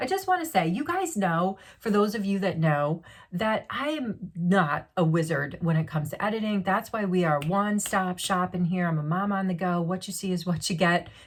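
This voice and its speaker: On a very clean recording with a silent background, a woman speaks in a somewhat breathy voice. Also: medium pitch for a woman, ordinary pitch variation, moderate pace. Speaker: beauty vlogger. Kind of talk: unboxing vlog. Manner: animated.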